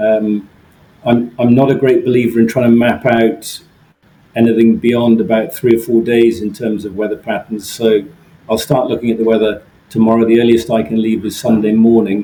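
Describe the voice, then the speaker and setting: A man with an English accent speaks in a flat monotone. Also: medium pitch for a man, moderate pace. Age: 60s. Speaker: solo ocean sailor. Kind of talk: interview. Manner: halting, frequent repeats and fillers.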